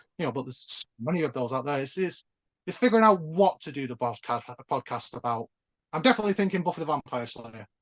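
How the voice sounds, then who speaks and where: In a Northern English accent, a man speaks at a very fast pace with a fairly high pitch and very wide pitch swings, the sound dry and close with no echo against a quiet background. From northern England. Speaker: nostalgia YouTuber. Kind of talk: casual chat.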